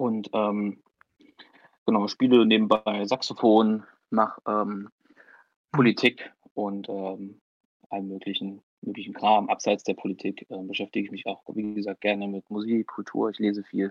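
This man talks at a fairly slow pace in a fairly low pitch, with long, frequent pauses. His intonation is monotone and flat, while his loudness swings widely. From Thuringia, Germany (Weimar area). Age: 20s. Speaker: youth party politician and law student. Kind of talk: podcast interview. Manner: hesitant, many filler sounds.

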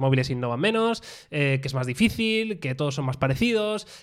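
A man has an unremarkable speaking voice. He talks at a fairly quick pace with lively intonation. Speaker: tech podcast host. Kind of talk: casual chat. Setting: studio, streamed live on video.

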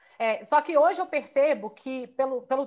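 Woman with lively intonation at a moderate pace. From Minas Gerais, Brazil. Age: 30s. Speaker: physiotherapist and Pilates business owner. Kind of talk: interview.

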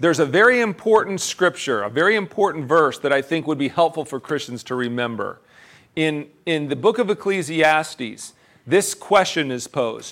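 On a very clean recording with a silent background, a man with an American accent and an unremarkable speaking voice speaks at a moderate pace with a fairly high pitch and lively intonation. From central Pennsylvania. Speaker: pastor. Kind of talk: sermon.

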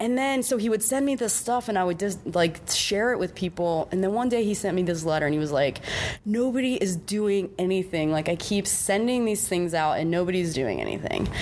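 A woman's medium-pitched voice at a fairly quick clip, lively in intonation, with very even loudness, hardly any pauses, and noticeable background noise. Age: 40s. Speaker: prison justice activist and art curator. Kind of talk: casual interview. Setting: art gallery.

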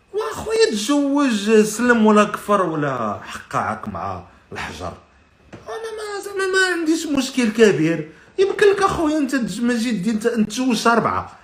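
At a moderate pace, a man speaks at an extremely high pitch with very wide pitch swings and big swings in loudness, over noticeable background noise and audible room echo. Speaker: podcast host. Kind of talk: casual live-stream monologue. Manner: animated.

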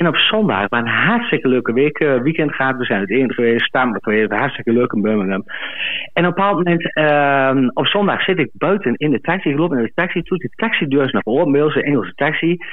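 Very even in loudness, a man speaks at a fairly quick pace with very wide pitch swings. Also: fairly high pitch for a man. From Twente, eastern Netherlands. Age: 40s. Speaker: caller, farmer. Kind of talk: storytelling. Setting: phone call.

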